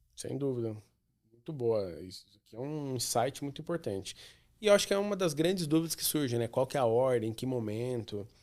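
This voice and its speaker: A plain, everyday voice from a man at medium pitch, fairly quick pace, lively intonation and big swings in loudness, on a very clean recording with a silent background. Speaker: podcast host. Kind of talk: interview.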